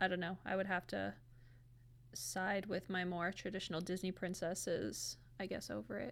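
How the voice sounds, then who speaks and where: In a very clean recording with a silent background, a woman of medium pitch speaks at a moderate pace with vocal fry and ordinary pitch variation. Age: 30s. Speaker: math teacher. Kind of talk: casual chat.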